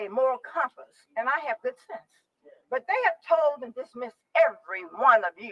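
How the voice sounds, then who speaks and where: With a Tennessee accent, a woman uses a raised, projected voice that is high-pitched with a bright, sharp tone, lively intonation and big swings in loudness at a moderate pace, in a dry, close sound with no echo. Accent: Southern US (Tennessee). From US South, Tennessee. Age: 70s. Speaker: retired judge and rally speaker. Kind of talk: rally speech. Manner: impassioned.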